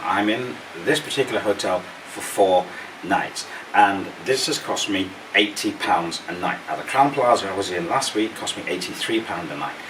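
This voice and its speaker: Fairly low male voice at a moderate pace, with noticeable background noise. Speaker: travel vlogger. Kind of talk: hotel review vlog.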